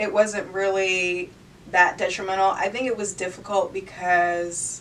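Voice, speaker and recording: A woman talks fairly slowly with an American accent. Her medium-pitched voice stays in a flat monotone. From northeastern Pennsylvania (Poconos). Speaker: college student and model. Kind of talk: casual interview. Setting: radio studio.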